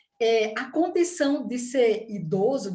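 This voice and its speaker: A woman's fairly high voice in a northeastern Brazilian accent, with lively intonation and audible room echo. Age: 60s. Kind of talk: talk.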